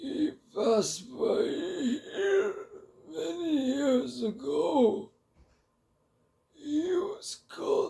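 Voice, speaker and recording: A man's raspy put-on character voice at an extremely high pitch, very slow, with long, frequent pauses. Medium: read story.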